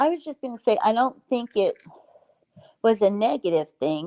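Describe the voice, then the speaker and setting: A dark, mellow tone with lively intonation at a fairly slow pace, in a dry, close sound with no echo. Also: woman. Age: 60s. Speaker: livestream guest. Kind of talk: casual livestream chat.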